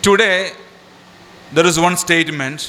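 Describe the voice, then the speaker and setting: With a Keralan accent, a man speaks at a fairly slow pace in a high pitch with ordinary pitch variation over noticeable background noise. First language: Malayalam. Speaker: organisation leader. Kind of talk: public speech.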